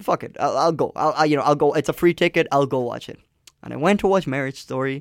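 A man speaks at a very fast pace, fairly high in pitch with ordinary pitch variation, vocal fry and big swings in loudness. The recording is very clean with a silent background, and the sound is dry and close with no echo. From Colombia. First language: Spanish. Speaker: campus radio host. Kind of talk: casual chat. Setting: radio studio.

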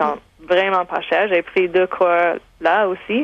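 A woman speaks at a fairly slow pace with a fairly low pitch.

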